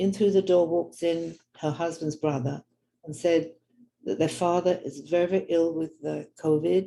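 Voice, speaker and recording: A woman with a London accent speaks at a moderate pace, her voice fairly low in pitch. Her intonation stays fairly even, and her tone is dark and mellow. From London, England. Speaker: religious teacher and author. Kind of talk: storytelling talk.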